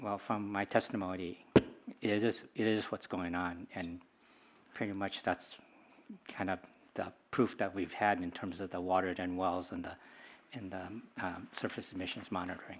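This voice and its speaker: The speech runs in a flat monotone, broken by long, frequent pauses. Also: man, very deep, low pitch for a man, moderate pace. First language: not English. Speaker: witness testifying at hearing. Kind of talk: hearing testimony.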